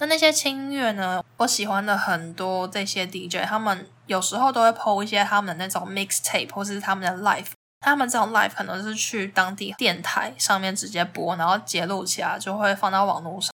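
On a very clean recording with a silent background, a woman with a Taiwanese accent talks at a fairly quick pace in a medium pitch, her tone bright and sharp, with ordinary pitch variation. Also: hardly any pauses. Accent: Taiwanese Mandarin. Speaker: travel podcaster. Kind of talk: casual solo podcast talk.

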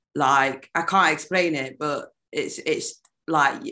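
A woman speaks with a strong British accent at a fairly low pitch. Her pitch varies in an ordinary way against a quiet background. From United Kingdom. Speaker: neo-soul and hip hop singer. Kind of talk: casual interview chat. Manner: animated.

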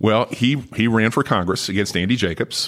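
A man speaks at a fairly quick pace with an American accent. His pitch varies in an ordinary way. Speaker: former state politician. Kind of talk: interview.

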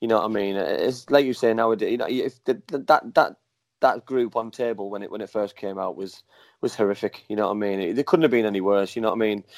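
A man at medium pitch in an English accent, talking at a very fast pace, on a very clean recording with a silent background. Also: ordinary pitch variation. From England. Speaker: former professional footballer. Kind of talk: casual chat. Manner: halting, repetitive.

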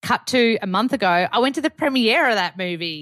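A woman with an Australian accent and lively intonation at a moderate pace, on a very clean recording with a silent background. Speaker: wellness expert, author and actor. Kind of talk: casual chat. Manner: animated.

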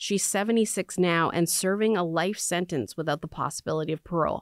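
A normal speaking voice at a fairly quick pace with ordinary pitch variation, dry and close with no echo, on a very clean recording with a silent background. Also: woman. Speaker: radio host. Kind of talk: interview. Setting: studio.

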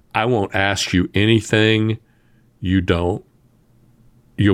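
A man talks with an American accent. The recording is very clean, with a silent background. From US South. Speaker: entrepreneur and podcast host. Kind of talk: interview conversation.

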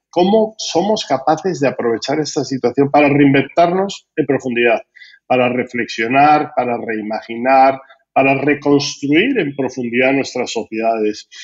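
The pace is fairly slow. It is an ordinary speaking voice. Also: man, fairly high pitch for a man, ordinary pitch variation. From Spain. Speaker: business school dean and podcast host. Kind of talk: interview.

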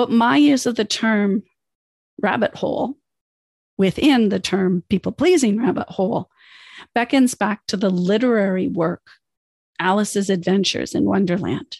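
A woman with a Canadian accent speaks at a medium pitch and moderate pace, her voice somewhat breathy with lively intonation. The sound is dry and close with no echo, and she leaves long, frequent pauses. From United States, moved to Canada as a child. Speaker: podcast host, life coach. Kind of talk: podcast monologue, self-help.

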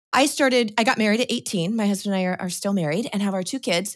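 A woman in a plain, everyday voice speaks with an American accent and ordinary pitch variation. The recording is very clean, with a silent background. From Washington State, US Pacific Northwest. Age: 40s. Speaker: homesteader and gardening author. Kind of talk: casual interview.

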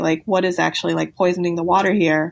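Against a silent background in a very clean recording, a woman speaks with a Californian accent. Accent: Californian American. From Los Angeles, San Fernando Valley. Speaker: novelist and lawyer. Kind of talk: interview.

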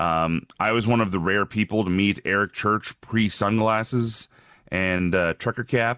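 Over a quiet background and in a dry, close sound with no echo, a man uses an ordinary speaking voice, fairly low in pitch, at a fairly slow pace with fairly even intonation and very even loudness. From Alberta, Canada. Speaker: radio host and wrestling commentator. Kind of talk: casual interview. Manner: casual, chatty.

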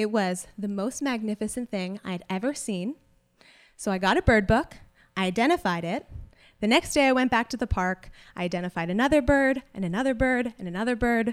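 A woman's plain, everyday voice with an American accent, fairly high in pitch with lively intonation, at a fairly quick pace, with a dry, close sound with no echo. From South Carolina. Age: 20s. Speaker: storyteller. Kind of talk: live storytelling. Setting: stage with audience.

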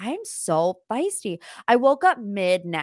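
Recorded very cleanly against a silent background, a woman talks in an animated tone at a medium pitch, the sound dry and close with no echo. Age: 20s. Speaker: pop culture podcast host. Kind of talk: casual chat.

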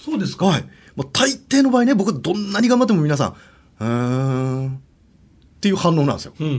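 A man's high-pitched voice with very wide pitch swings at a fairly quick pace. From Hokkaido, Obihiro. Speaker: ghost story teller. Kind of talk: ghost story telling. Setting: studio.

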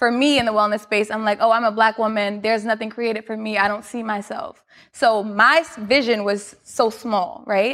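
A woman with an American accent talks at a moderate pace, barely pausing. She has a fairly high pitch and a normal speaking voice. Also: fairly even intonation. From New York, Queens. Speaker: fitness studio founder. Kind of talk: interview.

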